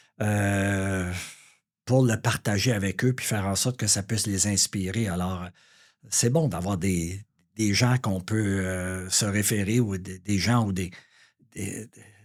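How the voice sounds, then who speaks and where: Fairly low male pitch, fairly even intonation, big swings in loudness, a very slow pace with long, frequent pauses, on a very clean recording with a silent background. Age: 60s. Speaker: real estate broker. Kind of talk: interview. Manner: hesitant, many fillers.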